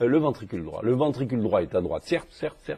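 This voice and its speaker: Against a quiet background, a man speaks with vocal fry and a dark, mellow tone. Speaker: cardiologist teaching echocardiography. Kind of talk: lecture. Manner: fast; hesitant, many fillers.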